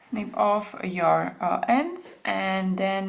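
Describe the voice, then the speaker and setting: Speaking at a very slow pace with a non-native accent, a woman is heard with audible room echo. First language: not English. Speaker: beading tutorial creator. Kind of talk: tutorial. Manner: halting, many fillers.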